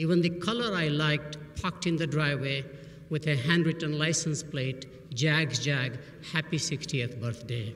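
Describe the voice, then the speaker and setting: A man with an Indian accent speaks at a fairly high pitch for a man and a moderate pace. Background noise is noticeable. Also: ordinary pitch variation. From Burma, Indian family. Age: 70s. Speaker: business professor. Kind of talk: commencement speech.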